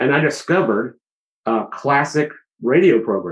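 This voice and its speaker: A man with an American accent speaks fairly slowly, with vocal fry. His intonation is lively. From US South, Georgia. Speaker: musician and studio owner. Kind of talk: casual chat.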